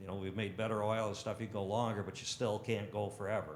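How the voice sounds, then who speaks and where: A man talks at a very fast pace in a fairly low pitch. Room echo is audible. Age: 60s. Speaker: shredding equipment technician. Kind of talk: podcast interview. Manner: enthusiastic.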